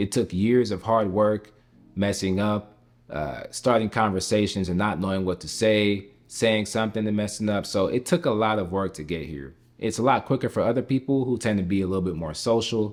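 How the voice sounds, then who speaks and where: Speaking with an American accent, a man has an unremarkable speaking voice and fairly low pitch. His pace is moderate, with ordinary pitch variation. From United States, Jamaican household. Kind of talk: casual talk to camera.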